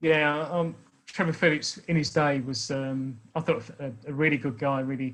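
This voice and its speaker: With an English accent, a man talks at a fairly slow pace, his pitch fairly high. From England. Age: 60s. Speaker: speaker on racism. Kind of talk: talk to an online meeting.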